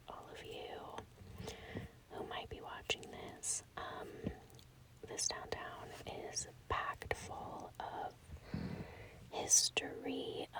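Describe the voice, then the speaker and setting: Noticeable background noise fills the recording. This woman whispers very slowly. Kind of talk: ASMR walking tour, casual talk to camera. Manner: whispered, soft.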